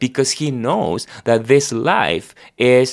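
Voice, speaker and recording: Here a man talks in a Spanish accent. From Argentina. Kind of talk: devotional conversation and prayer.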